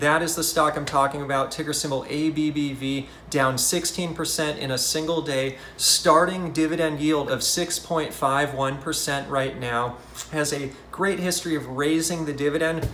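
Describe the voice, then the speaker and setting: Over noticeable background noise and audible room echo, a man speaks at a fairly high pitch and a moderate pace in a monotone, flat intonation. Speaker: investing YouTuber. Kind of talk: casual market commentary. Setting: hotel room. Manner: soft-spoken.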